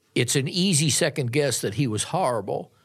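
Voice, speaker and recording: A man with a plain, everyday voice speaks at a fairly slow pace with ordinary pitch variation, on a very clean recording with a silent background. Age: 60s. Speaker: sportswriter. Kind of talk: casual sports discussion. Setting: studio.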